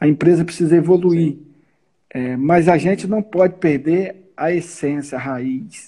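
A man's high-pitched voice with a dark, mellow tone, ordinary pitch variation and a fairly slow pace. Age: 50s. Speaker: business owner, supermarket chain president. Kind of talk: casual interview.

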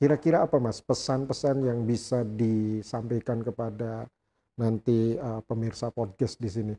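This man talks at a moderate pace with a medium pitch and a dark, mellow tone. The sound is dry and close, with no echo. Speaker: law professor and dean, podcast host. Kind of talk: interview podcast. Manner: energetic.

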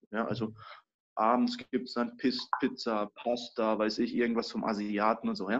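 A man with a plain, everyday voice talks at a fairly slow pace in a medium pitch. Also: fairly even intonation. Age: 20s. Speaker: master baker. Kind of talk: casual interview chat.

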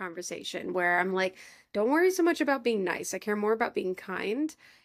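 A woman with an American accent talks at a fairly quick pace in a fairly high pitch. She has an unremarkable speaking voice, and the recording is very clean with a silent background. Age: 20s. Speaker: podcast host. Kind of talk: casual chat.

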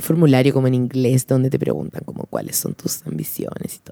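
A woman with a dark, mellow tone speaks at a moderate pace, the sound dry and close with no echo. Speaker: podcast co-host, advertising creative. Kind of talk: casual chat.

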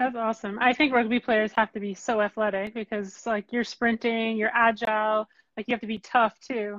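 Monotone, flat delivery from a woman with a Canadian accent, fairly high in pitch, at a moderate pace. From Ottawa, Canada. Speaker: podcast host, former athlete. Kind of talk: live panel interview. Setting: live video stream.

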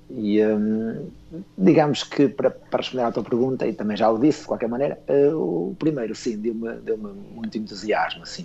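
This man talks at a fairly quick pace in a medium pitch. His tone is dark and mellow, with ordinary pitch variation. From northern Portugal (Esposende). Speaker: children's book writer. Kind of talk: radio interview.

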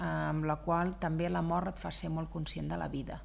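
Speaking at a moderate pace, a woman is heard. Audible room echo surrounds her voice. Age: 50s. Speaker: business owner. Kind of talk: interview. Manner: loud; animated.

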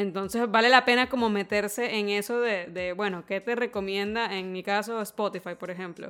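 In a Venezuelan accent, a woman speaks with fairly even intonation and hardly any pauses. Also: medium pitch for a woman, moderate pace. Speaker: podcast co-host. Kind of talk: casual chat.

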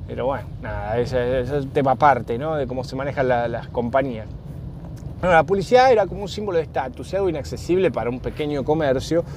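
With a Rioplatense accent, a man speaks at a very fast pace, his medium-pitched voice carrying lively intonation. Noticeable background noise runs underneath. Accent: Argentine Rioplatense Spanish. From Argentina. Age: 40s. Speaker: podcast host. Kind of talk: casual solo monologue. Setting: in a car.

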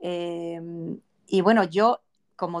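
A woman's fairly low voice at a very slow pace. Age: 40s. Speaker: podcast host. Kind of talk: casual interview chat.

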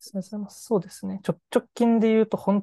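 A woman's dark, mellow tone, dry and close with no echo, against a quiet background. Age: 20s. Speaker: startup CEO. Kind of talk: interview.

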